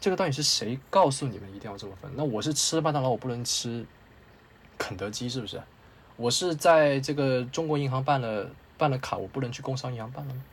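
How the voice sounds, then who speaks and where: With a medium-pitched, somewhat breathy voice, a man talks at a fairly quick pace, his loudness swinging widely and his pitch varying in an ordinary way. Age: 20s. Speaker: film reviewer. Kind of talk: casual chat.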